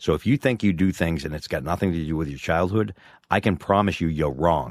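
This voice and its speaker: A man with a very deep, low pitch talks at a fairly quick pace with lively intonation, in a very clean recording over a silent background. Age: 50s. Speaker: podcast co-host. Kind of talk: casual chat.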